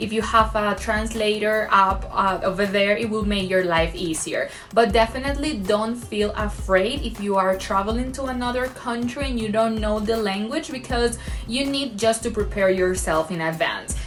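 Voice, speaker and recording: A woman with a Spanish accent, medium pitch, ordinary pitch variation, a moderate pace with hardly any pauses, noticeable background noise, and audible room echo. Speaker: travel vlogger. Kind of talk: travel vlog.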